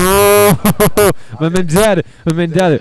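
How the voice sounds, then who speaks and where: This is a man talking. He has a French accent. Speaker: punk band drummer. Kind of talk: casual interview. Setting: music festival.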